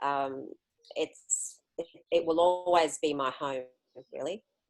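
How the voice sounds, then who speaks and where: A woman with an Australian accent speaks fairly slowly in a very deep, low voice, her intonation fairly even. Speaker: interviewee, solo traveler. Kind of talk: interview.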